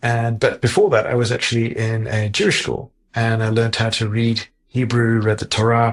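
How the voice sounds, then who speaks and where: A man talks at a moderate pace in a somewhat breathy, medium-pitched voice. His intonation is monotone and flat. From Zimbabwe. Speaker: heart surgeon. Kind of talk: interview. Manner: halting, many fillers.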